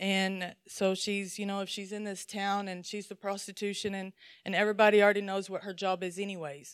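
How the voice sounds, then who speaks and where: In a very clean recording with a silent background, a woman speaks in a Southern US accent. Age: middle-aged. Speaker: lay speaker at church. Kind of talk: sermon. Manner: animated.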